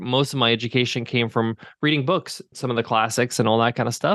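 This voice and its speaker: At a fairly quick pace, a man with a plain, everyday voice talks at medium pitch with ordinary pitch variation. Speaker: webinar software founder and podcaster. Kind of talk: casual interview chat.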